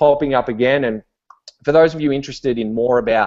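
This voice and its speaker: A man with an Australian accent, fairly high in pitch, with ordinary pitch variation. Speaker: online business entrepreneur. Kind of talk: webinar talk. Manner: casual, many fillers and repetitions.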